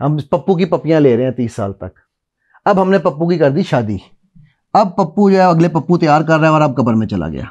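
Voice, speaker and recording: A man with a fairly high pitch and lively intonation at a moderate pace, in a quiet background. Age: 50s. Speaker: motivational speaker and NLP trainer; motivational speaker, NLP trainer. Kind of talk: talk to a live audience. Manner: animated. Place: studio.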